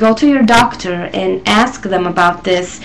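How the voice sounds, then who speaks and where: A woman at a fairly slow pace over noticeable background noise. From Israel. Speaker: vlogger. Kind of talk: casual talk to camera. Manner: hesitant, many fillers.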